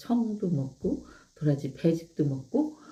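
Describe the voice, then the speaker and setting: A woman's fairly low, somewhat breathy voice has a dark, mellow tone and lively intonation. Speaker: live-stream host promoting products. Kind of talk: casual live-stream chat with product demo.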